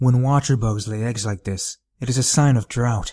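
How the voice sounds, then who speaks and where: On a very clean recording with a silent background, a man puts on a character voice at a medium pitch and a moderate pace. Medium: read story. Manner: curt, grave.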